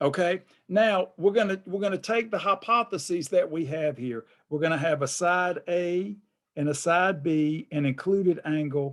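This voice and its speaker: Speaking with an American accent, a man uses a high pitch with ordinary variation. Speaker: math professor. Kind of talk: lecture. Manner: repetitive, stammering restarts.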